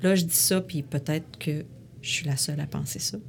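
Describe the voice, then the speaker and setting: In a Quebec accent, a woman speaks with a very deep, low pitch, somewhat breathy, with ordinary pitch variation. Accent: Québécois French. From Quebec City. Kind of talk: interview. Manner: halting.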